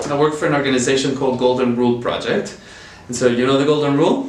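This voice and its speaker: A fairly high-pitched man with a slight Chilean accent at a very fast pace, with audible room echo and noticeable background noise. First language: Spanish. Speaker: nonprofit worker. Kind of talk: interview.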